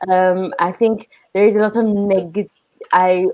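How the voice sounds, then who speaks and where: Her tone is dark and mellow. The woman talks very slowly. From Iran, Armenian community. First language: Armenian. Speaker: podcast panelist. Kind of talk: casual discussion.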